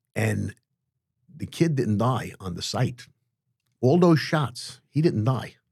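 A man with a New York accent speaks at a very slow pace and a medium pitch, with vocal fry. His intonation is lively, broken by long, frequent pauses. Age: 60s. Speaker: former mob hitman. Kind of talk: interview storytelling. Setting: studio. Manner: animated.

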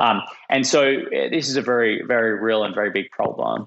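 A man with an Australian accent speaks at a medium pitch. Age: 30s.

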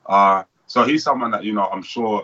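Speaking with a British accent, a man keeps a fairly quick pace and fairly even intonation. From United Kingdom. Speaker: professional boxer. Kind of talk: casual interview.

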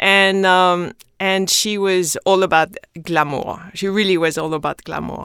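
This very clean recording has a silent background, with a woman speaking in a French accent. Her pitch is medium, her pace fairly slow and her intonation fairly even. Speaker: skincare company founder. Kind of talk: interview.

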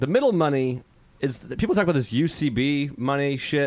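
A man's ordinary speaking voice, fairly high-pitched, with lively intonation at a moderate pace. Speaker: comedian. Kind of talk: casual chat. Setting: studio.

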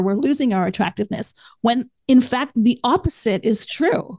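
A woman with a normal speaking voice speaks at a fairly quick pace and fairly high pitch, her intonation lively, in a dry, close sound with no echo. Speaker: podcast host. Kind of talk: casual interview chat.

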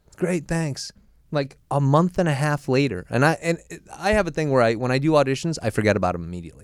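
A man's very fast, fairly high voice with an American accent and very wide pitch swings, on a very clean recording with a silent background. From Boston. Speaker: comedian and TV host. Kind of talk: casual chat. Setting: studio.

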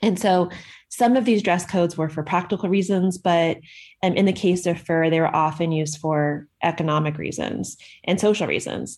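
A woman with a fairly low pitch and an ordinary speaking voice talks at a moderate pace with fairly even intonation, on a very clean recording with a silent background. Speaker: medievalist. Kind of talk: answering a listener question.

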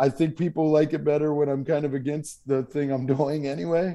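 A man's dark, mellow voice at a moderate pace over a quiet background. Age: 30s. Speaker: comedian. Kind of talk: casual chat.

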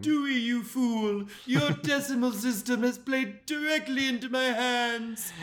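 In a put-on character voice, the speaker uses a fairly high pitch and a fairly slow pace with hardly any pauses. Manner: smug, villainous.

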